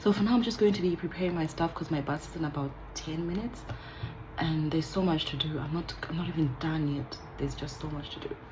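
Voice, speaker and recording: Noticeable background noise runs under a woman's very deep, low voice. She talks at a very fast pace with ordinary pitch variation. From Zimbabwe. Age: 20s. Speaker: nursing student. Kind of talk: casual vlog talk to camera.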